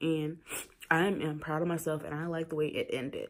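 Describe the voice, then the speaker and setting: With noticeable background noise, a woman speaks at a moderate pace in a fairly low pitch. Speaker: YouTuber. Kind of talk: casual TV recap. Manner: casual, chatty.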